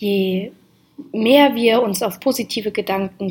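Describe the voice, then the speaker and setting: Her voice is somewhat breathy, a woman's at medium pitch. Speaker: podcast host on mindfulness and moon cycles. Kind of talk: solo podcast monologue.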